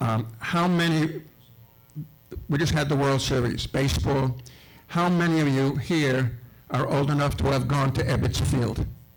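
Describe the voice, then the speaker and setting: Room echo is audible as a man with an American accent talks at a fairly high pitch, with ordinary pitch variation and very even loudness. He leaves long, frequent pauses. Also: fairly slow pace. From Brooklyn, New York. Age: 70s. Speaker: borough historian. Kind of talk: speech to an audience.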